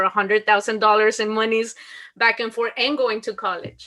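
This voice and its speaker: A woman is speaking. She has a Mexican accent. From Mexico. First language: Spanish. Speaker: school principal. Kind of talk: interview.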